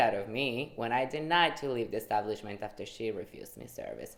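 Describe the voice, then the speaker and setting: The pace is fairly quick. A woman talks with ordinary pitch variation. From Guatemala. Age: 20s. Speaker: activist sharing personal story. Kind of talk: testimony.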